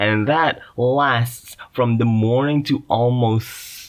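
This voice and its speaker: A man with an Indonesian accent. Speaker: podcast host. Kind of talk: casual monologue. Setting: makeshift booth in a closet. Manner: halting, many fillers.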